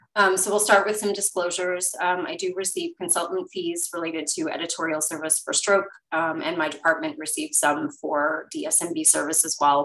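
A woman talks at a fairly quick pace with hardly any pauses and lively intonation. She has an unremarkable speaking voice, fairly low in pitch. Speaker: webinar presenter. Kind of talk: lecture. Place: home room. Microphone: webcam.

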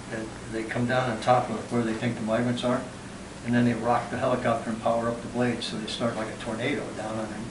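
Noticeable background noise underlies a man's fairly quick speech, which holds fairly even intonation. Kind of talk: informal explanation to a group. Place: home room.

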